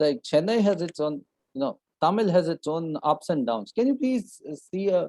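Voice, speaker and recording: A man's high, dark and mellow voice with very wide pitch swings and a Punjabi accent, dry and close with no echo. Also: moderate pace. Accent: Indian English (Punjabi). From Punjab, India. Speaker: English test coach. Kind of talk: online class. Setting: video call.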